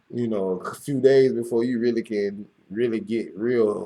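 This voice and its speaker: A man speaks with an American accent at a fairly low pitch. His tone is dark and mellow. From US South, Florida. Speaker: podcast host. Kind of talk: casual monologue. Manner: halting, many fillers.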